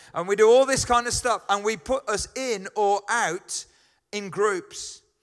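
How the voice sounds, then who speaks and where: Here a man speaks with a Birmingham accent, his pitch high and its variation ordinary. The recording is very clean, with a silent background. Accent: Birmingham (Brummie). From Birmingham, England. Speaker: pastor. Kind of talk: sermon. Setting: church. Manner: casual, halting.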